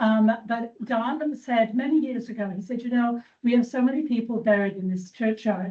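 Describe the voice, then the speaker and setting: Her voice somewhat breathy and dark and mellow in tone, a woman speaks at a fairly high pitch and a moderate pace. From England. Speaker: church trustee and cemetery volunteer. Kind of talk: informal presentation to a meeting. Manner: conversational, hesitant with fillers.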